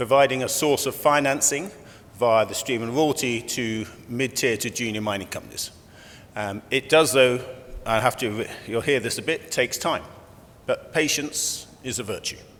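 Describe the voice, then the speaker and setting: A man talks loudly at a moderate pace. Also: medium pitch for a man, ordinary pitch variation. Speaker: company executive chairman. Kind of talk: conference presentation. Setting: conference room with audience. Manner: conversational, with fillers.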